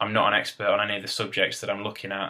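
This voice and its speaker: A man speaks with an East Midlands accent. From England, Derbyshire (East Midlands). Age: 20s. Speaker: gardener, video blogger. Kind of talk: casual vlog monologue. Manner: halting, with fillers.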